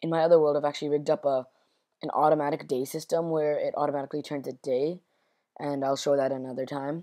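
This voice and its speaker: Very fast and monotone, a woman speaks with a dark, mellow tone and a very deep, low pitch. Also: very clean recording, silent background. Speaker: gaming tutorial maker. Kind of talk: casual screen-recorded game tutorial. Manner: a bit higher pitched than usual.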